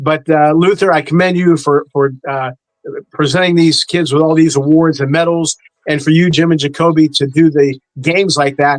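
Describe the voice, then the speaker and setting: A man at a fairly high pitch and fairly quick pace, with fairly even intonation and music in the background. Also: dry, close sound with no echo. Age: 60s. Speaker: sports show panelist. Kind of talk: casual chat. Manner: halting, repetitive.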